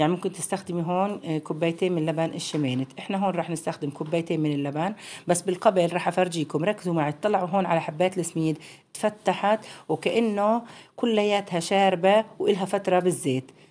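A woman speaks at a moderate pace with ordinary pitch variation in an unremarkable speaking voice. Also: fairly low pitch for a woman. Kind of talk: tutorial. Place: home room. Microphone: phone near.

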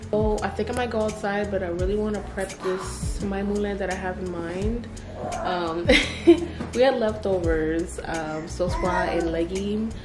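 A woman speaks at a fairly slow pace. Clear music can be heard in the background. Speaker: family vlogger. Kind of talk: casual vlog chat. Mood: cheerful, laughing. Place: home room. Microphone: phone near.

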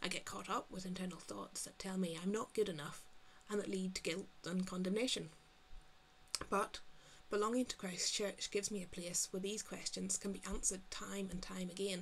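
Over light background noise, a woman with a Northern Irish accent speaks at a moderate pace in a medium pitch with fairly even intonation. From Northern Ireland. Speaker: GP and church member. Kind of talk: testimony. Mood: calm, sincere, reflective. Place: home room. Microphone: webcam.

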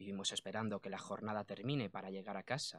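Fairly quick speech comes in a bright, sharp tone. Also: man. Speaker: poet. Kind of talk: radio interview, casual chat. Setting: radio studio. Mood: reflective, earnest. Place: studio. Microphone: studio mic.

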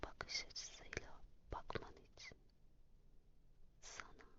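Very slow, calm-toned whispering. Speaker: ASMR affirmation reader. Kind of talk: morning affirmations read. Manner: whispered; calm, slow.

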